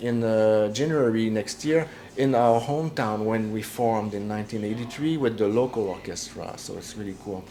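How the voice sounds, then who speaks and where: With a Quebec accent, a man speaks at a moderate pace and medium pitch with ordinary pitch variation over noticeable background noise. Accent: Québécois French-accented English. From Quebec (Jonquière). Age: 60s. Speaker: metal drummer. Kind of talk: interview. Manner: halting, many fillers.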